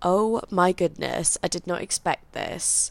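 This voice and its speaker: Recorded very cleanly with a silent background, a woman talks at a medium pitch in a London accent. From England, London. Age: 20s. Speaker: podcaster. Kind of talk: casual solo monologue.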